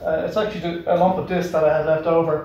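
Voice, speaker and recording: Talking at a fairly quick pace, a man uses a high voice, with audible room echo. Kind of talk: casual explanatory vlog talk. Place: garage. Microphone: camera far.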